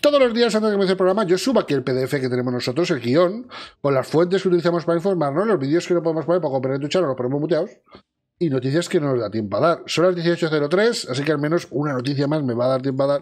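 A man talking very fast over a quiet background. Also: fairly high pitch for a man, lively intonation. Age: 40s. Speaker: video game news host. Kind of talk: casual chat. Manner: animated. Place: home room.

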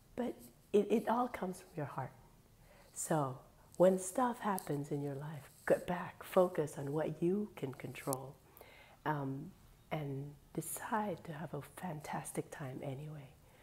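Putting on a hoarse character voice, a woman speaks at a fairly slow pace with a very deep, low pitch, big swings in loudness, and long, frequent pauses. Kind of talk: casual vlog chat. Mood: upbeat, encouraging.

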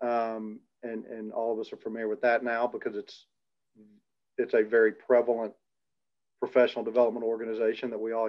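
The words come at a very fast pace in a monotone, flat intonation. The background is quiet. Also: man. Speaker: athletics director hosting a panel. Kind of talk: panel discussion moderation. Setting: video call. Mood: reflective, conversational. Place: office. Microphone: video call.

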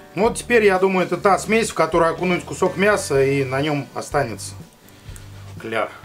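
Moderate pace with long, frequent pauses and faint music in the background. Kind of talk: cooking tutorial. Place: home room.

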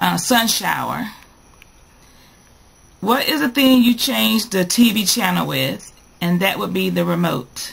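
A woman with a North Carolina accent, fairly slow in pace, with long, frequent pauses. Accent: North Carolina Southern US. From North Carolina, USA. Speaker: vlogger. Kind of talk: casual talk to camera. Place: home room. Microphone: webcam.

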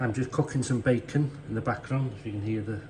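The man talks at a moderate pace with fairly even intonation. Noticeable background noise runs underneath. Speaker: home cook vlogger. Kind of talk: casual vlog chat. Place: kitchen. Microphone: phone near.

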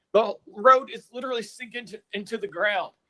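A man speaks in a raised, projected voice. He has an American accent. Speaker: resident speaking in opposition. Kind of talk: public comment at meeting. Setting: public planning meeting. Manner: halting, stuttering.

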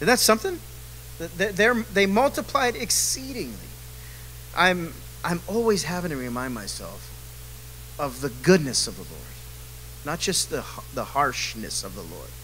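At a moderate pace, a man talks with long, frequent pauses over light background noise. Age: 40s. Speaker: men's Bible study leader; bible study teacher. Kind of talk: Bible study teaching. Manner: casual, animated. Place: church. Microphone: handheld.

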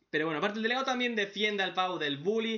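An animated man with a high pitch and ordinary pitch variation, against a quiet background. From Spain. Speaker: manga reaction youtuber; webcomic reaction youtuber. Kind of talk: casual commentary; casual commentary recapping a comic. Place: home room.

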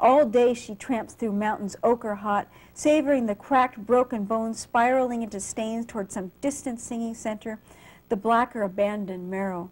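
A woman at a fairly high pitch and moderate pace, with fairly even intonation, in a very clean recording with a silent background. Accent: American. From US West Coast (San Jose, California). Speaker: poet and English professor. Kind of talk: poetry reading. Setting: library reading with live audience.

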